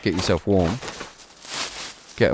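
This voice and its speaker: A man speaks in a relaxed tone with a British accent. Noticeable background noise runs underneath. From Britain. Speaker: gaming streamer. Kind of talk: gameplay commentary. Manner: casual, relaxed.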